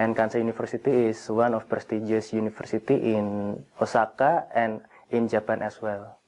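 Here a man speaks with an Indonesian accent at a moderate pace. His intonation is monotone and flat. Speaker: graduate student. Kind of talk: interview. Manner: halting. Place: hall.

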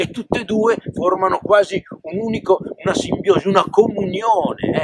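Loud background noise sits behind a man speaking at a fairly slow pace. The sound is dry, with no echo. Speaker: presenter. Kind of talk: casual explanatory talk to camera. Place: open country. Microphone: phone near.

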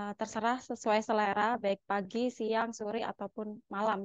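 In a quiet background with a dry sound and no echo, a woman speaks at a moderate pace with monotone, flat intonation. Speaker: lecturer. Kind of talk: lecture. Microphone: webcam.

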